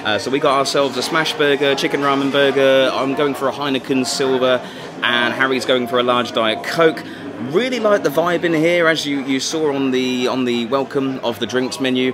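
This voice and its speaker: Against noticeable background noise, a man talks at a moderate pace with fairly even intonation. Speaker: travel vlogger. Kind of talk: casual vlog chat. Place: bar. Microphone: phone near.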